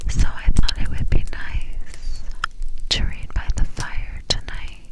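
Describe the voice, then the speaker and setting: A woman whispers at a very slow pace. Noticeable background noise sits behind her. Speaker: ASMR Bible reader. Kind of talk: ASMR introduction to camera. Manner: soft-spoken.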